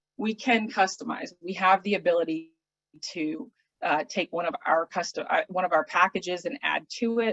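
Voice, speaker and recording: Here a woman with an unremarkable speaking voice talks at medium pitch with ordinary pitch variation. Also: moderate pace. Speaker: travel specialist for an auction services company, hospitality professional. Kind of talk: business presentation / explanatory talk. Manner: casual, conversational, with filler words.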